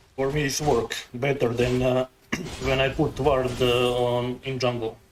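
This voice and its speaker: Over noticeable background noise, a man with a non-native accent and medium pitch speaks at a fairly slow pace in a monotone, flat intonation. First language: not English. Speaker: gaming streamer. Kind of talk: live gameplay commentary. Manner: halting.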